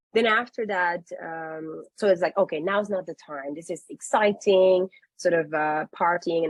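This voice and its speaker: In a dry, close recording with no echo, a woman speaks with a Dutch accent. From Netherlands (Curaçao roots, grew up in Amsterdam). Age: 30s. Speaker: business leader at a tech company. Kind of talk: panel webinar conversation.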